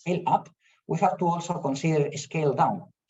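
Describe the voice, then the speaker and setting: A man with a Spanish accent, somewhat breathy, at a moderate pace. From Spain. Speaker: professor. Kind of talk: lecture. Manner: halting.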